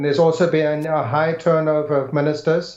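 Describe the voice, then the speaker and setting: A man with a slight English accent and a fairly high pitch. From South Africa, Pietermaritzburg. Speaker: government official. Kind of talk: interview. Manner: halting.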